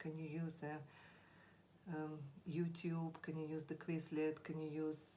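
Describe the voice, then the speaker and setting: Speaking at a very slow pace with a Russian accent, a woman has a very deep, low pitch and a dark, mellow tone, with audible room echo. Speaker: language teacher. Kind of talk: tutorial. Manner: halting, with frequent fillers.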